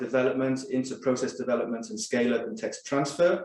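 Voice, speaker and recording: There is a Welsh accent in this man's voice. He talks in a medium pitch at a moderate pace. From Wales. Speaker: pharmaceutical scientist. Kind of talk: corporate presentation.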